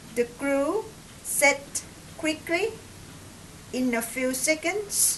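A woman with a Thai accent speaks at a very slow pace against noticeable background noise. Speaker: hobbyist builder. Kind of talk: tutorial narration. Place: home room. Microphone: camera far.

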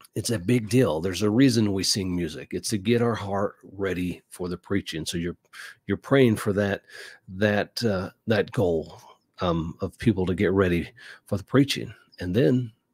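In an unremarkable speaking voice, a man talks at a moderate pace and a fairly low pitch with ordinary pitch variation, in dry sound with no echo and a quiet background. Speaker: podcast host on church life. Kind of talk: casual advice talk. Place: studio.

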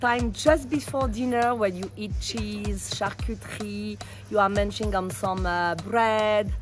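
Fairly slow female speech against background music. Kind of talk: interview answer. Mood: cheerful, warm. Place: garden. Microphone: phone near.

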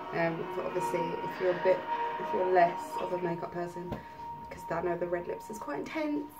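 A woman talks at a fairly quick pace with very wide swings in pitch while music plays in the background. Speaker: makeup tutorial vlogger. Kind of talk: casual makeup tutorial talk to camera. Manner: soft, half-whispered. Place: home room.

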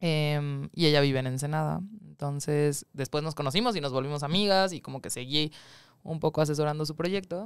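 A woman talks at a fairly quick pace with a very deep, low pitch and ordinary pitch variation. The sound is dry with no echo, and the background is quiet. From Mexico City. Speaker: documentary film producer; guest. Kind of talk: interview; interview answer. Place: studio. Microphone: studio mic.

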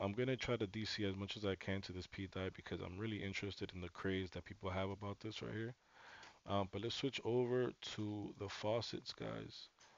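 A man with an ordinary speaking voice, fairly low in pitch, at a moderate pace. His intonation stays fairly even, and the sound is dry with no echo. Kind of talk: commentary.

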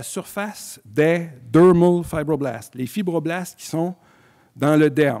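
A man's fairly high-pitched voice with a dark, mellow tone, at a very slow pace over a quiet background. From Quebec. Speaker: physician and scleroderma researcher; physician lecturer. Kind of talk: lecture. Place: hall. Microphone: podium.

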